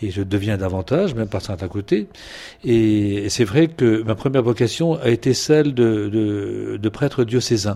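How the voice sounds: Here a man speaks at a moderate pace with fairly low pitch and a dark, mellow tone. His intonation is lively.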